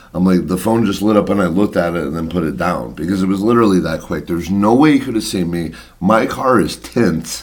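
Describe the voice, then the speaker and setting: Talking at a very fast pace with hardly any pauses, a man uses a very deep, low pitch and ordinary pitch variation over noticeable background noise. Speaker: podcast co-host. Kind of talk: casual chat. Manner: loud.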